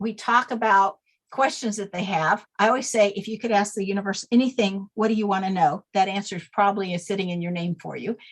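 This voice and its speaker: Her voice sits at a medium pitch as a woman speaks with ordinary pitch variation. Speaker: name expert, author. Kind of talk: interview. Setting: podcast. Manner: fast.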